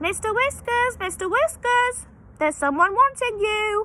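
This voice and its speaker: A woman puts on a squeaky character voice at an extremely high pitch. She speaks at a moderate pace over clear background noise. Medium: read story. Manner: cross, brusque.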